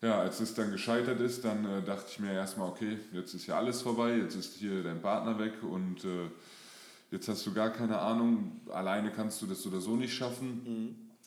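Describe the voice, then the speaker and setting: Fairly low in pitch, a man talks at a moderate pace with fairly even intonation. Noticeable background noise and audible room echo surround him. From Germany, moved around (Lower Saxony, Hesse, NRW). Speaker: fitness and mindset coach. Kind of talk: interview.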